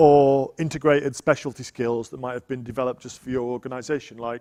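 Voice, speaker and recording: With a Yorkshire accent, a man speaks at a medium pitch and fairly quick pace in a dark, mellow tone with monotone, flat intonation, the sound dry and close with no echo. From Yorkshire, northern England. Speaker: tech evangelist presenter. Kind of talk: technical conference talk.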